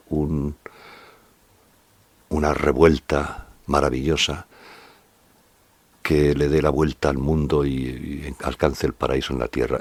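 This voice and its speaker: A man speaks with a very deep, low pitch and vocal fry. His intonation stays fairly even. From Spain, La Mancha. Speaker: poet and essayist. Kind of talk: interview answer. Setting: at home. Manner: slow, unhurried.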